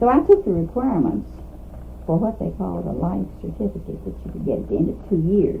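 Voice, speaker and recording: In an audibly echoing room, a woman with an American accent talks at a moderate pace. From US South, Kentucky (Trigg County). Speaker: retired teacher. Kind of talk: oral history interview.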